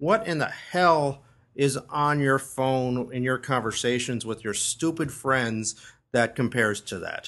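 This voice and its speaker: A man uses a normal speaking voice, medium in pitch with ordinary pitch variation, at a fairly slow pace. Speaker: entertainment journalist. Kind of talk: casual chat giving advice.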